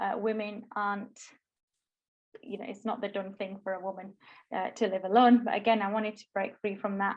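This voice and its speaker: Speaking at a fairly quick pace but with long, frequent pauses, a woman with a Yorkshire accent keeps a medium pitch and monotone, flat intonation. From northern England, Bradford, Yorkshire. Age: 20s. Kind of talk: talk at online workshop. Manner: hesitant, many fillers.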